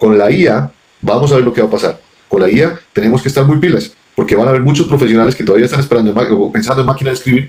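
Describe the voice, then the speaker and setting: Animated in tone, a man talks at a very fast pace with medium pitch and ordinary pitch variation. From Colombia, Pasto (Nariño). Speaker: businessman. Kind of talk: interview conversation. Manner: animated, repetitive stammering.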